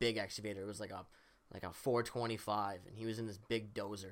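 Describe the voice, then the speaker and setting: A man with an unremarkable speaking voice talks at a fairly quick pace, his medium pitch held to fairly even intonation. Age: 20s. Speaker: podcast guest. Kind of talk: casual chat.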